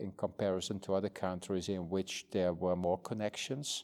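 In a very clean recording with a silent background, a man with a Dutch accent speaks at a moderate pace in a dark, mellow tone with fairly even intonation. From northern Netherlands countryside. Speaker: museum director. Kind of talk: interview. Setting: museum. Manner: halting.

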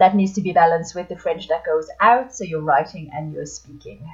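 A somewhat breathy woman at a fairly low pitch and moderate pace. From France (Paris area). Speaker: language teacher. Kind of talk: interview.

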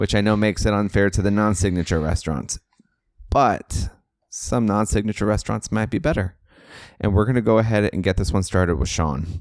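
A man with an unremarkable speaking voice and an American accent, at a fairly low pitch with ordinary pitch variation, a fairly quick pace and very even loudness, in a very clean recording with a silent background. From California. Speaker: podcast host and travel advisor. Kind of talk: casual chat.

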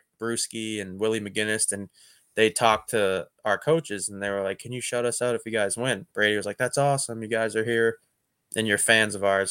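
A man speaks in an ordinary speaking voice with an American accent, at a moderate pace and medium pitch, his fairly even intonation caught in a dry, close sound with no echo on a very clean recording with a silent background. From Boston. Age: 30s. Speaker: professional baseball player. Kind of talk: casual interview.

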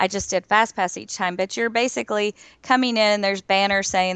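A woman with a Southern US accent talks with ordinary pitch variation, in a dry, close sound with no echo against a quiet background. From Florida. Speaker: podcast panelist. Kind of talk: casual chat.

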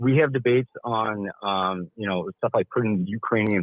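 A man with an American accent speaks in a normal speaking voice at a moderate pace, his pitch fairly low. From Milwaukee, Wisconsin. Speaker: caller, union member. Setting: phone call.

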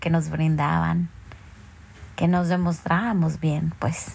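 The voice is somewhat breathy. It moves at a very slow pace. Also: woman. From Mexico. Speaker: listener sending a voice message. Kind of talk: recorded voice message.

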